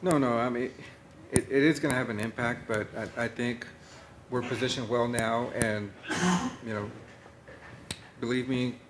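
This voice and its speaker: Against noticeable background noise, a man talks at a moderate pace and a medium pitch. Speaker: college president. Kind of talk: board meeting discussion.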